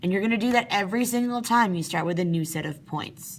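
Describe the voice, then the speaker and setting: The speaker is a woman. Her pitch moves in an ordinary way. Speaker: math teacher. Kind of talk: tutorial. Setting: at work, after hours. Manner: fast.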